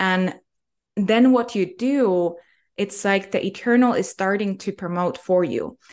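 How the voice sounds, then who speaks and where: A woman with a plain, everyday voice, medium in pitch, with ordinary pitch variation and a fairly slow pace. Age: young. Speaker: spiritual healer. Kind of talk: interview.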